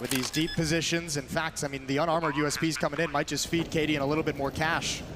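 A man talks very fast with hardly any pauses, his pitch fairly high and his intonation monotone and flat. Noticeable background noise runs behind him. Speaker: esports caster, analyst. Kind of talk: live esports commentary. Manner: analytical, quick-paced.

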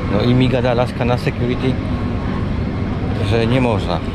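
A man talks over loud background noise. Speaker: travel vlogger. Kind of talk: casual vlog chat. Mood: mildly annoyed. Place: hall. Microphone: phone near.

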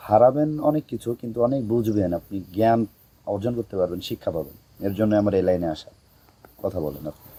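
The speaker has an ordinary speaking voice and lively intonation. Loudness rises and falls in big swings. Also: man. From Bangladesh, Narail district. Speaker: social media content creator. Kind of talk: interview.

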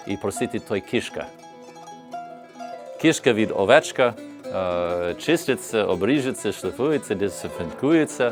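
Music plays behind a man speaking at a moderate pace. His pitch is medium and his intonation is lively. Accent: non-native. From United States. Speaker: bandura player and instrument maker. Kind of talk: explaining his craft on camera.

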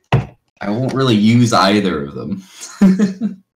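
A man talks over light background noise. The room echo is audible. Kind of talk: casual chat. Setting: video call. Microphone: video call.

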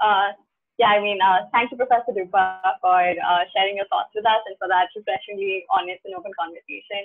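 A woman at medium pitch with fairly even intonation and big swings in loudness, over a quiet background. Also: fairly quick pace. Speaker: event organizer; host closing session. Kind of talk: event hosting. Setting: video call. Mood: cheerful, laughing. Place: home room. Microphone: webcam.

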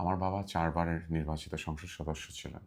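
A man speaks at a very deep, low pitch with monotone, flat intonation. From Bangladesh, Brahmanbaria (Nabinagar). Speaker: parliamentary candidate, politician. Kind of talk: interview.

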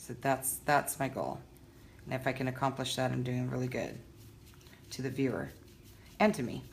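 A woman speaks with a very deep, low pitch, fairly even intonation and vocal fry. Her pauses are long and frequent. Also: moderate pace. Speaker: painter and video blogger. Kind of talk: casual video blog, painting tutorial. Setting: home studio, painting on camera. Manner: casual, chatty, halting with fillers.

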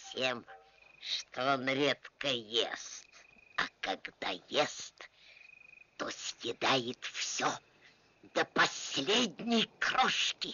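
Putting on a character voice, a woman speaks very slowly at a very deep, low pitch, with long, frequent pauses. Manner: wheedling, flattering.

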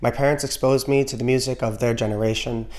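The background is quiet. A man with an American accent speaks with fairly even intonation. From New York City (Bronx), Trinidadian family. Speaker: music YouTuber. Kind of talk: scripted narration. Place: home room. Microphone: studio mic.

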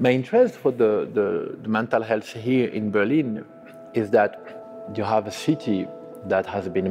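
Faint music plays in the background as a man talks. He keeps a moderate pace with ordinary pitch variation. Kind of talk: interview answer. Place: hall.

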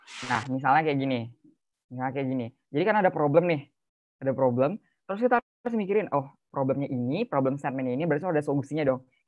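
A man talks very fast at a fairly high pitch. The sound is dry, with no echo. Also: ordinary pitch variation. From Bekasi, Indonesia; Indonesia. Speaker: youth speaker; speaker. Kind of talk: webinar talk. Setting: video call. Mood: casual, friendly. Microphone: video call.

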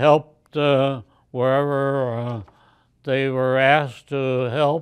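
A man with an American accent and a fairly high pitch, very slow pace, monotone, flat intonation, quiet background. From Chicago, United States. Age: 80s+. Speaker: yacht club commodore, Sea Scouts leader. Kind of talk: interview answer. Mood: reminiscing, calm. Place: home room.

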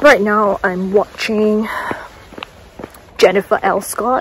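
A woman speaks in a dry sound with no echo. Light background noise is present. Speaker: vlogger. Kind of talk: casual vlog chat. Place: open country. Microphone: phone near.

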